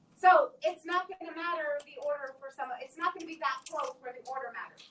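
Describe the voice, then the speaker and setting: High-pitched speech from a woman, with ordinary pitch variation. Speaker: math teacher. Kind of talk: lecture. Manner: fast.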